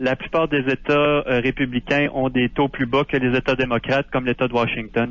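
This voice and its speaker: A man talks with monotone, flat intonation and hardly any pauses. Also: medium pitch for a man, moderate pace, very even loudness. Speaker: Quebec expat, libertarian writer. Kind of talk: radio phone interview.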